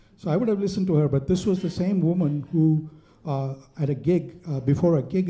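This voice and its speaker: With an Indian accent, a man speaks at a moderate pace in a dark, mellow tone with ordinary pitch variation. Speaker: stand-up comedian. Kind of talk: stand-up. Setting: stage with audience.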